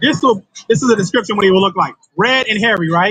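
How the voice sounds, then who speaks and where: A man in an animated tone with music in the background. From US South, the Carolinas. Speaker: street preacher. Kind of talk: street preaching to a crowd.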